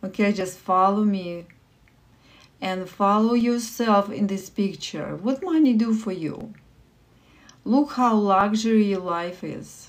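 A soft-spoken woman with a Russian accent and a warm tone, very slow, with long, frequent pauses and ordinary pitch variation. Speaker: livestream meditation host. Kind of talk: guided meditation. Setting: live stream with online viewers. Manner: soft, slow, calming guidance; warm, encouraging. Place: home room. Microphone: phone near.

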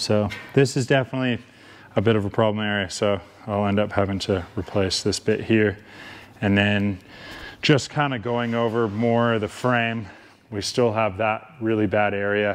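The man's voice sits fairly low, with fairly even intonation and a moderate pace. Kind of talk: tutorial. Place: workshop. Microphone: phone near.

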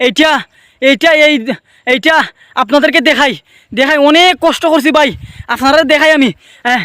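Raising and projecting his extremely high, bright, sharp voice, a man speaks with fairly even intonation in a dry, close sound with no echo. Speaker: video vlogger. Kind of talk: casual vlog narration. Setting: outdoors. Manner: halting.

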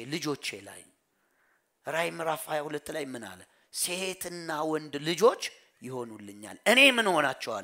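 Bright, sharp tone with lively intonation and big swings in loudness, over a quiet background. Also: man. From Ethiopia. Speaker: pastor. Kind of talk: sermon. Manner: call-and-response questioning. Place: church. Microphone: headset.

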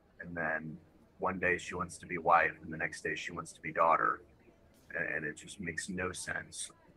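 Light background noise behind a man talking at a moderate pace. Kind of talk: casual group discussion. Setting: video call. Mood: wry, frustrated. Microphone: video call.

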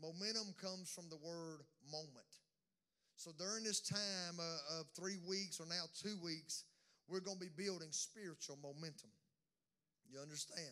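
With a Southern US accent, the voice has a bright, sharp tone, ordinary pitch variation, and long, frequent pauses. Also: man, high pitch for a man, moderate pace. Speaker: pastor. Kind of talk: sermon. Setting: church. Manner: animated.

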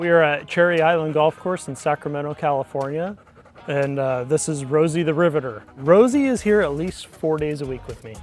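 At a moderate pace, a man talks with ordinary pitch variation and big swings in loudness, faint music in the background and a dry sound with no echo. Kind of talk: interview answer. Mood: proud, warm about his dog. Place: open country. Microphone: lapel.

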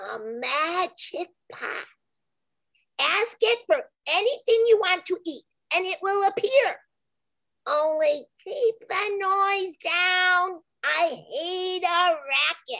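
Using a put-on character voice with an extremely high pitch, a woman talks very slowly, leaving long, frequent pauses. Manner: gruff, impatient.

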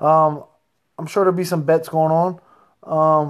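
Against a quiet background, a man with an American accent speaks in an animated tone with a high voice. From Reading, Pennsylvania; Pennsylvania. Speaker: professional heavyweight boxer. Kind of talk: casual chat. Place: home room. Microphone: phone near.

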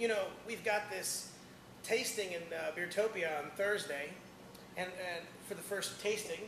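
Over clear background noise, a man speaks at a fairly slow pace in a high voice with ordinary pitch variation.

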